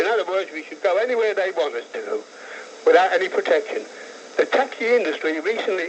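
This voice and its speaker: A man with an English accent at a fairly quick pace, over noticeable background noise. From London, England. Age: 60s. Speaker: caller, taxi driver. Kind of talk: phone-in call. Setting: phone call.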